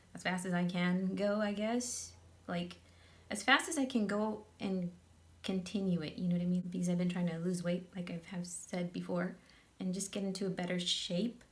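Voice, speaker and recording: Music plays in the background while a woman talks at a moderate pace. Her pitch is medium and her intonation fairly even. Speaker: makeup tutorial youtuber. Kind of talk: casual vlog chat; tutorial.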